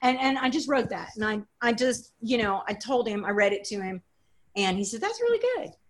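Talking at a fairly quick pace, a woman uses a normal speaking voice with a fairly high pitch and ordinary pitch variation. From Texas (College Station), partly Los Angeles and Germany. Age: 50s. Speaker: writer and rancher. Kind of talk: interview conversation.

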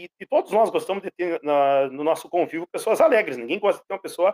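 Very fast and high-pitched, a man speaks with ordinary pitch variation in a dry, close sound with no echo. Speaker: pedagogue and actor. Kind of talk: radio interview.

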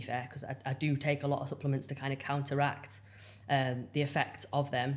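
She speaks with an English accent. Her very deep, low voice holds a flat, monotone intonation. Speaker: bodybuilding coach and figure athlete. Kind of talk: casual interview chat.

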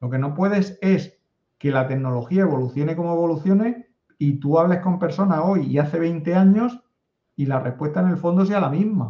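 A man speaks in a high pitch with a dark, mellow tone. His pace is moderate and his pitch variation ordinary. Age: 50s. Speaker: data analytics consultant. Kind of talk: interview.

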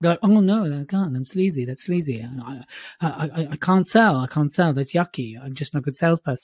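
In a very clean recording with a silent background, a man speaks quite quickly with a fairly high pitch, lively intonation and a somewhat breathy voice. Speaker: public speaking podcast co-host. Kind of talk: casual chat. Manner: animated.

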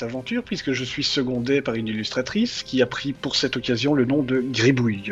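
A man speaks at a moderate pace with a Belgian accent and medium pitch. Music plays in the background. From Belgium. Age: 30s. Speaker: anonymous web comic writer. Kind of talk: interview.

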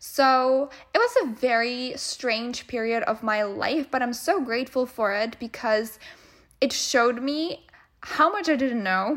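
Her voice is high-pitched and animated as this woman talks at a fairly slow pace. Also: ordinary pitch variation. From Czech Republic. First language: Czech. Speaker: podcast host, business mentor. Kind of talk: casual solo podcast monologue.

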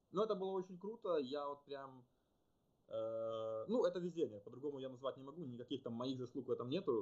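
A man with a fairly high-pitched voice speaks at a fairly quick pace. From Ukraine, Kyiv (childhood partly in Western Siberia). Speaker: business analyst and rowing champion. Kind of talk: interview. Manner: hesitant, with many fillers.

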